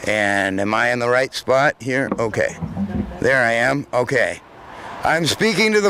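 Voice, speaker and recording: A man speaks in a raised, projected voice with lively intonation at a fairly slow pace. There is noticeable background noise. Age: 50s. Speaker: public commenter at community forum. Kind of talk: public comment speech.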